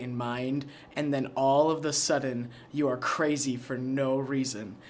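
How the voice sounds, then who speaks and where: A man speaks at a moderate pace with a medium pitch and fairly even intonation. Room echo is audible. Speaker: documentary interviewee. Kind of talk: interview testimony. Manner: hesitant, many fillers and restarts.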